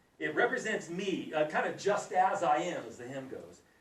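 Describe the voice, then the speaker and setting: A man talks in a high voice at a fairly slow pace. Room echo can be heard around him. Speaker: Bible teacher. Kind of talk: Bible class teaching. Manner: animated; whispering briefly.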